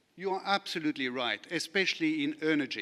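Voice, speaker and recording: A bright, sharp voice with a French accent at a fairly quick pace, ordinary pitch variation, in a very clean recording with a silent background. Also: man. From France. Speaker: lawyer. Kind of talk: conference panel talk. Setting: conference session with audience.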